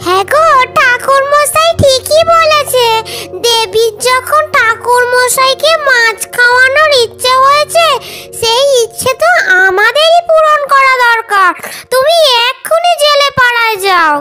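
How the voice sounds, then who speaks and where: A woman puts on a cartoonish character voice pitched extremely high. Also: fairly slow pace. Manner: fast, exclamatory.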